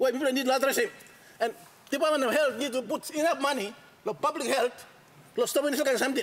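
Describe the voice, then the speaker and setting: At a very fast pace, a man talks in an extremely high pitch. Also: ordinary pitch variation. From Papua New Guinea. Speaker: member of parliament. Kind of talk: parliamentary speech. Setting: parliament chamber. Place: hall. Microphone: podium.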